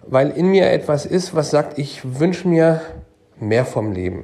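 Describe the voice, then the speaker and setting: The speaker is a man. His tone is dark and mellow. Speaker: asset manager. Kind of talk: interview.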